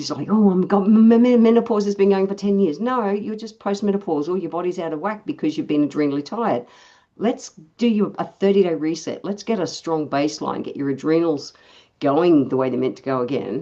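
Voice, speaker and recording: Someone with an Australian accent speaks at a fairly quick pace in a dark, mellow tone with lively intonation over a quiet background. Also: woman, medium pitch for a woman. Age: 60s. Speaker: naturopath and osteopath. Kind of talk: casual health chat. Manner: animated.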